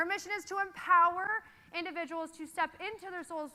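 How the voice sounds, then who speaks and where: A woman's energetic, raised and projected voice, extremely high in pitch, at a fairly quick pace. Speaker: company founder and social media director. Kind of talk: conference keynote. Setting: stage with audience. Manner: loud.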